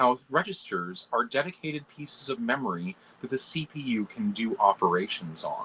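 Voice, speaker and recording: Fairly high-pitched man's voice with vocal fry, a bright, sharp tone, very wide pitch swings, a moderate pace and a dry, close sound with no echo. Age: 40s. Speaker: computational biologist and engineer. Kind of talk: casual chat. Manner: animated.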